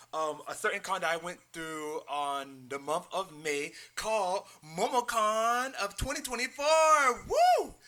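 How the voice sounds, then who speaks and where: Speaking at a fairly slow pace, a man projects a raised voice in a high pitch, his animated tone swinging very widely in pitch over noticeable background noise. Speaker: YouTuber and drag performer reviewing a convention. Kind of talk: casual vlog review. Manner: hesitant with fillers.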